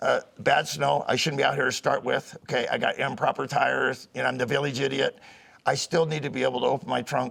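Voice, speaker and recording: A man with vocal fry talks at a fairly quick pace and a fairly high pitch. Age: 70s. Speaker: firearms instructor. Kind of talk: interview. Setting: outdoors. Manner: animated.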